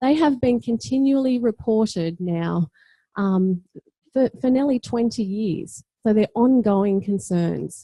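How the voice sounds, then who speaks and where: In an Australian accent, a woman speaks fairly slowly with a dark, mellow, somewhat breathy tone, fairly high pitch, lively intonation and very even loudness, in a dry, close sound with no echo. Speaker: teacher educator and education researcher. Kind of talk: conference talk.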